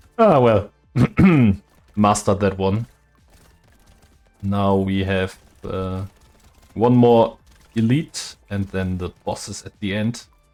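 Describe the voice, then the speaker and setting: With music in the background, the speech moves at a very slow pace with long, frequent pauses and fairly even intonation. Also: man, fairly low pitch for a man. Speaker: gaming YouTuber. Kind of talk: let's play commentary.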